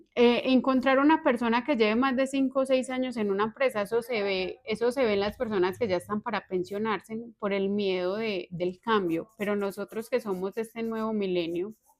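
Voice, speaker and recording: In a plain, everyday voice, a woman speaks at a moderate pace and fairly high pitch, with ordinary pitch variation and hardly any pauses. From Colombia, Antioquia (Valparaíso). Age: 30s. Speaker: accountant. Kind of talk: interview.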